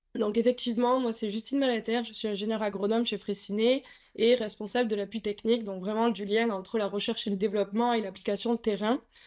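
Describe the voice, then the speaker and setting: Delivered at a very fast pace, the woman's speech stays monotone and flat. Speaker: agronomist engineer. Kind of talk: technical presentation. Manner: hesitant, many fillers.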